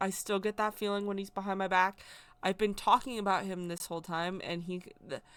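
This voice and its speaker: Speaking at a fairly quick pace, a woman with a medium pitch keeps a monotone, flat intonation on a very clean recording with a silent background. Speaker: spiritual content creator, witch. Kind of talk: personal testimony. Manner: soft-spoken; loud at times.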